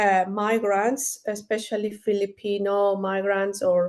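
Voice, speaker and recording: A woman with a Spanish accent speaks at medium pitch and a very slow pace. Her intonation is monotone and flat, over a quiet background. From Ecuador. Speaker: marketing strategist and entrepreneur. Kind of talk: interview. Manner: halting, many fillers and repeats.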